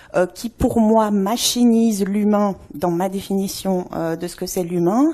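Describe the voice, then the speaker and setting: A woman's dark, mellow tone at a moderate pace. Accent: Swiss. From Switzerland. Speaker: anthropologist. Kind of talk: conference talk. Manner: many filler hesitations.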